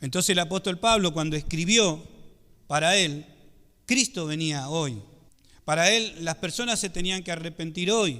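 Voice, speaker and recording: A man's high-pitched voice with lively intonation and a bright, sharp tone. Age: 50s. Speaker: pastor. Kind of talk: sermon.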